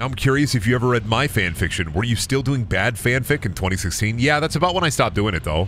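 Over clear background noise, a man talks at a fast pace. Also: medium pitch for a man, lively intonation.

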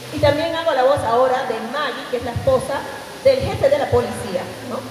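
In audible room echo, a woman speaks at a fairly quick pace with ordinary pitch variation.

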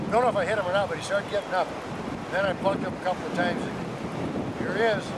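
A man talks at a very fast pace over loud background noise. The sound is dry, with no echo. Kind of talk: casual storytelling to camera. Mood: elated, proud. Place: open country.

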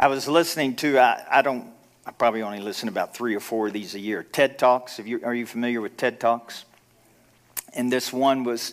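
The speaker talks at a moderate pace with ordinary pitch variation against a quiet background. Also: man. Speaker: pastor. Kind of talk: sermon. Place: church.

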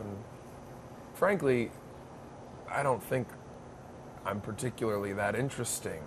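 The voice belongs to a man with a fairly low pitch. Noticeable background noise runs underneath. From Maine. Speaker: stand-up comedian. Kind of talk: interview answer. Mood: relaxed, reflective. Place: cafe. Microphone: lapel.

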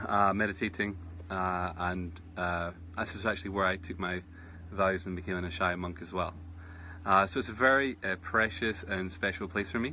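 A man with a very deep, low voice and a bright, sharp tone speaks at a moderate pace with fairly even intonation. Long, frequent pauses break up his speech, with light background noise. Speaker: meditation teacher. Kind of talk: casual live-stream chat. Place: garden. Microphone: phone near.

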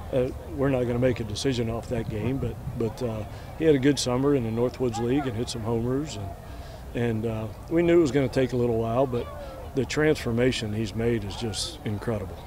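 A man at a fairly quick pace with ordinary pitch variation, dry sound with no echo and noticeable background noise. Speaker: baseball coach. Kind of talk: interview answer. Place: stadium. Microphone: handheld.

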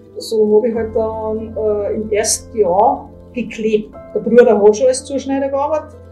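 Over faint background music, a woman talks fairly slowly at a fairly high pitch with fairly even intonation. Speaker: leather cutter. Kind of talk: interview answer. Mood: warm, sometimes laughing. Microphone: lapel.

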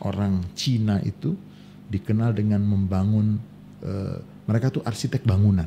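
A man's somewhat breathy, dark and mellow voice at a moderate pace, very even in loudness, with fairly even intonation and light background noise. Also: fairly low pitch for a man. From Indonesia. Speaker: Islamic scholar; podcast guest. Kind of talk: casual chat. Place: studio. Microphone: studio mic.

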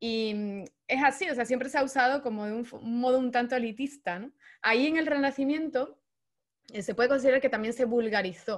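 The background is quiet as a woman with a high pitch speaks. She talks at a fairly quick pace with ordinary pitch variation. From Andalusia, Spain (Seville). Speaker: astrologer and therapist; guest. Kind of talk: interview conversation. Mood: calm, explanatory. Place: home room. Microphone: connection drops out; video call.

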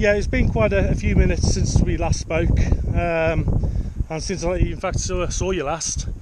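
Noticeable background noise sits under a man's voice, which sounds dry with no echo. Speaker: radio hobbyist vlogger. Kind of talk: radio chat to a friend, product commentary. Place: open country. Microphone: phone near.

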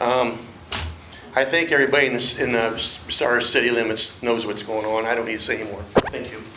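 Over noticeable background noise and audible room echo, a man with an American accent speaks at a fairly quick pace and medium pitch. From Ohio, Crawford County. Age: 70s. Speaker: write-in council candidate. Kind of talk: public comment at council meeting. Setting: city council meeting podium.

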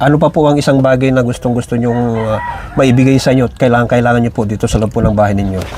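Very fast, medium-pitched male speech with fairly even intonation over noticeable background noise. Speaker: charity vlogger. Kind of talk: vlog interview questions. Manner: polite, respectful.

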